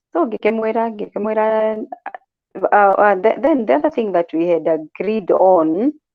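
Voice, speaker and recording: This woman's voice is fairly high in pitch, with lively intonation. She speaks at a very slow pace. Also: very even loudness. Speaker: domestic violence survivor. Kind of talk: testimony.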